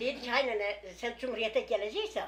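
Over noticeable background noise, a woman talks at a moderate pace, her pitch swinging very widely. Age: 70s. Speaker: village grandmother. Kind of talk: interview answer.

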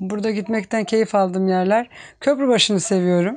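A woman speaks at a moderate pace in a medium pitch. Her pitch varies in an ordinary way, and the background is quiet. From Turkey, Çanakkale region; Turkey. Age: 50s. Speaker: village woman, farmer. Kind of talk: interview, life story. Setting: at home. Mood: calm, reflective. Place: home room. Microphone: lapel.

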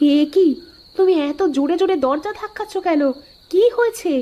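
A woman performs a cartoonish character voice. Her pitch is extremely high and her intonation lively. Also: moderate pace.

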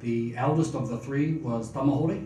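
The voice is somewhat breathy and fairly slow, with fairly even intonation, light background noise and audible room echo. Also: man. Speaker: speaker. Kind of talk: seminar talk. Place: hall.

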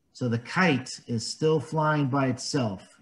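A man speaks at a very slow pace. His voice is somewhat breathy. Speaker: volunteer story reader. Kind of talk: children's read-aloud with commentary. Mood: warm, gentle, explanatory. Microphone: webcam.

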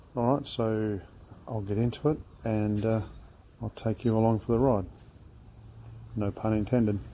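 A man speaks at a fairly slow pace. Loud background noise is heard behind him. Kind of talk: casual tutorial commentary. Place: street. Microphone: phone near.

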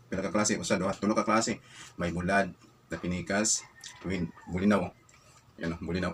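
A man with a very deep, low pitch speaks at a fairly quick pace in a monotone, flat manner, leaving long, frequent pauses. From Visayas, Philippines. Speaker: food vlogger. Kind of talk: casual eating vlog. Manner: mouth full while talking.

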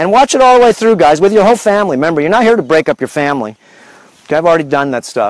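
A man speaks in an animated tone, his pitch swinging very widely. The sound is dry, with no echo. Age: 50s. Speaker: health and lifestyle video host; lifestyle video host. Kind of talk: casual livestream monologue. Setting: outdoors on a farm. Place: farm. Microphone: lapel.

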